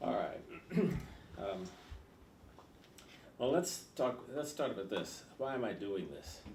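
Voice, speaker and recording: A man with an American accent, vocal fry, very wide pitch swings and long, frequent pauses, with audible room echo. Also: medium pitch for a man. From California. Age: 80s+. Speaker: political candidate. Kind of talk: interview. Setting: in person interview with editorial board. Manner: halting.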